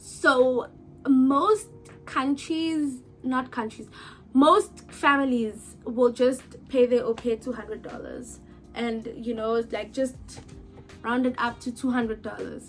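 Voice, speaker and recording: The speaker goes at a fairly slow pace. Music plays in the background. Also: woman. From South Africa. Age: 20s. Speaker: YouTuber and au pair. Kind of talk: casual Q&A vlog. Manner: animated.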